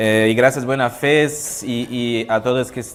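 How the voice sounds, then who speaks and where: A man speaks with a Portuguese accent against noticeable background noise. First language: Portuguese (speaking Spanish). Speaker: panel moderator. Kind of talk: conference panel opening. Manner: halting.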